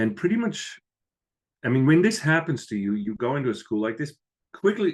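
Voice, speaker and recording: A man with a medium pitch and vocal fry speaks at a fairly quick pace with a slight Swiss accent. His pitch swings very widely. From Switzerland, village near Lucerne. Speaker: business professor. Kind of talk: podcast interview.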